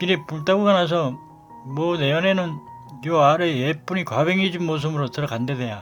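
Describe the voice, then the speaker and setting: With music in the background, a man in a Gangwon accent talks at a moderate pace with ordinary pitch variation. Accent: Gangneung dialect. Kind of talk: dialect monologue.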